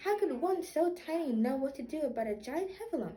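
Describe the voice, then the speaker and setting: A woman's put-on character voice, high and squeaky, at a fairly quick pace with very wide pitch swings. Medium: read story. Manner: fretful.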